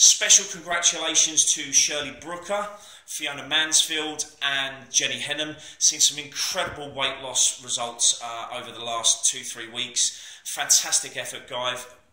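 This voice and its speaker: Audible room echo surrounds a man talking at a fairly slow pace, with ordinary pitch variation and big swings in loudness. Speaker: personal trainer. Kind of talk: casual vlog chat. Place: gym. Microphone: phone near.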